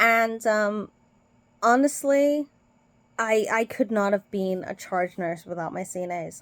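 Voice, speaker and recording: Speaking at a fairly slow pace, a woman uses a medium pitch and lively intonation. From Britain. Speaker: nurse. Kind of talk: casual vlog commentary. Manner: hesitant, many fillers.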